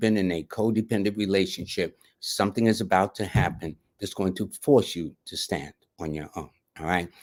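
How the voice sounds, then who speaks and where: In a New York accent, a man speaks with fairly even intonation on a very clean recording with a silent background. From New York City. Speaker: numerologist, live show host. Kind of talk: live reading for viewers. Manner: fast; casual, conversational.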